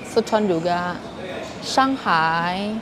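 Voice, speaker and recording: A woman talks with ordinary pitch variation, with audible room echo and noticeable background noise around her. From Kalimantan, Indonesia (Hakka community). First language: Hakka (speaking Indonesian). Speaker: live streamer. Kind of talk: live stream chat. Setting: airport.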